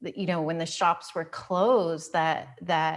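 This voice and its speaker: Her pitch fairly low and her intonation fairly even, a woman speaks with an American accent. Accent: American, noticeable in Australia. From United States. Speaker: podcast host. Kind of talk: interview.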